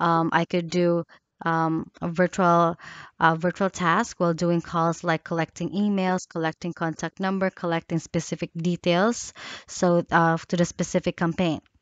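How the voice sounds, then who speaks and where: In a dry sound with no echo and a quiet background, a woman speaks at a fairly low pitch. Her intonation is monotone and flat. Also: moderate pace. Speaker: job applicant. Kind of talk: self-introduction video. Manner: halting. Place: home room. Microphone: headset.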